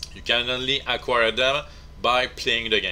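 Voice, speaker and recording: A man talks with a non-native accent. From Quebec, Canada. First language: French. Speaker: video game tutorial maker. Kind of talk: game tutorial narration.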